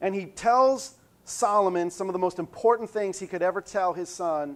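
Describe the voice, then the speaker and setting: With a quiet background, a man talks with ordinary pitch variation. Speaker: pastor. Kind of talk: sermon. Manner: fast.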